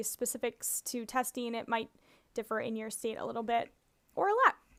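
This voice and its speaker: A woman speaks with a high voice in a Minnesotan accent. The recording is very clean, with a silent background. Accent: Minnesota. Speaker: speech-language pathologist. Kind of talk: tutorial presentation.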